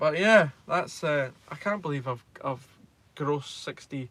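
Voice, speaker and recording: In a Scottish accent, a man talks with a fairly high pitch. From Scotland. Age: 20s. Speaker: truck driver, YouTuber. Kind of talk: live stream chat with viewers. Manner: hesitant, lots of ums.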